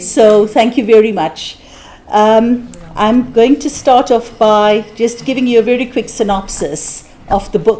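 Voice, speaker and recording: A woman speaks at a fairly high pitch and a moderate pace, with ordinary pitch variation. Noticeable background noise is present. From South Africa. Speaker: conference speaker and author. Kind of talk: conference speech.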